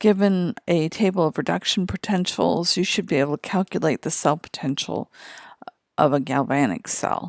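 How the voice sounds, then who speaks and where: On a very clean recording with a silent background, a woman in a normal speaking voice talks at medium pitch and a moderate pace with lively intonation. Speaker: chemistry teacher. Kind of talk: lecture.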